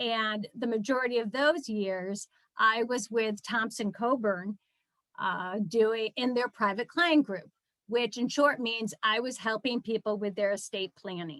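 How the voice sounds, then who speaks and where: A woman uses a normal speaking voice with a fairly high pitch and ordinary pitch variation. She talks at a fairly slow pace, with a dry, close sound with no echo. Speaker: attorney and fundraiser presenting a nonprofit training. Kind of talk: webinar presentation. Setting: video call.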